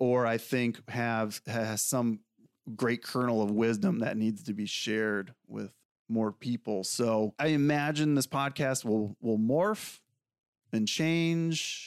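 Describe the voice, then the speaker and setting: Man's voice, an unremarkable speaking voice at medium pitch with ordinary pitch variation, dry and close with no echo, on a very clean recording with a silent background. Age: 40s. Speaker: podcast host, Marine veteran and fitness trainer. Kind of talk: solo monologue podcast. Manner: casual with frequent fillers.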